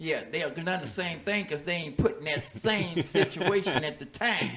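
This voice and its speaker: A man with a high pitch and ordinary pitch variation speaks at a moderate pace amid noticeable background noise. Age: 60s. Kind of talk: casual chat. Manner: animated.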